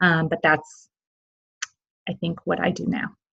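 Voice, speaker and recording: Fairly low female voice with a Midwestern accent, at a moderate pace over a quiet background. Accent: Midwest twang. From US Midwest, Illinois. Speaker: parent. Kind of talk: interview. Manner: halting.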